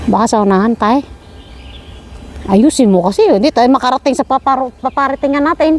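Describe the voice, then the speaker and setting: Over noticeable background noise, a woman with a high pitch talks at a fairly quick pace with lively intonation. She takes long, frequent pauses while her loudness stays very even. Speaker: vlogger. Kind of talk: casual chat. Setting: outdoors.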